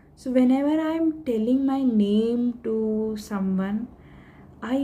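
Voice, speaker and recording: A woman talks with ordinary pitch variation. Some room echo can be heard. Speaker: stammering awareness vlogger. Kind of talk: tutorial. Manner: code-switching Hindi and English.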